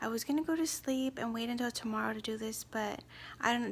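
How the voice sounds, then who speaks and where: A soft-spoken woman talks at a moderate pace in a fairly high pitch. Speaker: homeschooling mom. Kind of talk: casual talk to camera.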